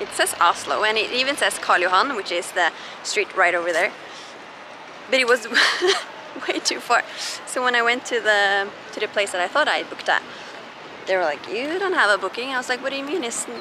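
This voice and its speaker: The speaker moves at a fairly quick pace with very wide pitch swings. The sound is dry with no echo, though noticeable background noise is present. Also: woman. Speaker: vlogger. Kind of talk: casual vlog chat. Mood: amused, laughing at own mistake. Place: street. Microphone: phone near.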